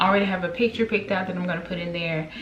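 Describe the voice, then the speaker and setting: A woman with a fairly low voice speaks very fast, with ordinary pitch variation. Room echo and noticeable background noise can be heard. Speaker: home decor vlogger. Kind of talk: shopping haul vlog. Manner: casual, with many fillers.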